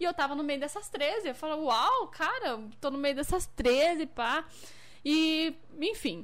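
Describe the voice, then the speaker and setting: A woman talks at a very slow pace. Her high voice carries lively intonation. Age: 20s. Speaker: dancer and model. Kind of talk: casual livestream interview chat.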